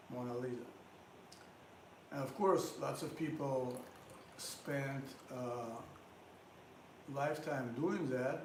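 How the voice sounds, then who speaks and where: Speaking very slowly with long, frequent pauses, a man keeps a fairly high pitch and fairly even intonation. Audible room echo and noticeable background noise fill the recording. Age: 60s. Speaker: drummer. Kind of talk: casual monologue between music.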